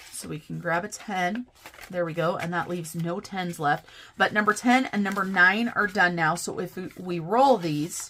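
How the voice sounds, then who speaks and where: A woman puts on a character voice with a raspy sound at a medium pitch, her loudness swinging widely. She keeps a moderate pace and ordinary pitch variation. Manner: talking too fast.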